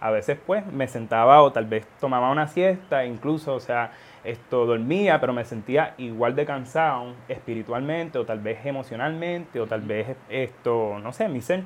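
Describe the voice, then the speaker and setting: In an ordinary speaking voice, a man of medium pitch talks at a moderate pace with hardly any pauses and ordinary pitch variation. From Puerto Rico-born, raised in Florida from age four. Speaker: seminary student. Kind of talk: casual religious podcast discussion.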